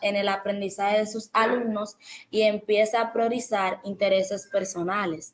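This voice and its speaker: This woman's voice sits fairly high in pitch, and her intonation stays monotone and flat. She talks at a fairly slow pace. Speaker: education student. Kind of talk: educational podcast monologue.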